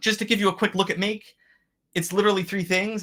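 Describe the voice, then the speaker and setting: A man speaks in a high voice at a very fast pace. His tone is bright and sharp. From Pennsylvania, near Scranton. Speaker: systems engineer presenting Slack tools. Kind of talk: webinar presentation with demo.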